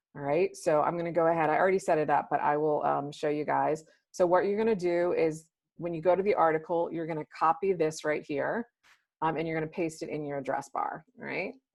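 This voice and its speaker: A woman speaks at a fairly quick pace. Her pitch sits fairly low. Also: fairly even intonation. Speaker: software trainer. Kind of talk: webinar product demo. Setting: video call. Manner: fast; casual, filler-heavy.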